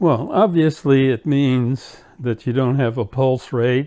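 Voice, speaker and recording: The delivery is very slow, with a dark, mellow tone and fairly even intonation. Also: man. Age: 80s+. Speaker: pastor. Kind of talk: interview. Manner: halting.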